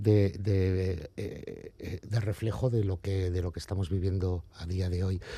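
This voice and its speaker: A somewhat breathy, dark, mellow voice at a very slow pace with hardly any pauses over a quiet background. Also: man, very deep, low pitch for a man, fairly even intonation. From Spain, Galicia. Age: 40s. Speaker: comic book author. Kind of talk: interview. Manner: halting, many repetitions.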